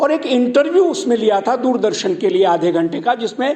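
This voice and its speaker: This is a man speaking with a Gujarati accent. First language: Gujarati (speaking Hindi). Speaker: Sanskrit scholar and broadcaster. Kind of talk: speech at a college event.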